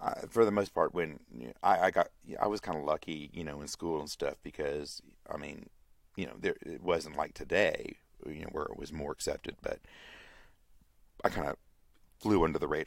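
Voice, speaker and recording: A man with an American accent, big swings in loudness and long, frequent pauses. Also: moderate pace. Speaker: podcaster. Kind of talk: casual monologue. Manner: halting, many fillers.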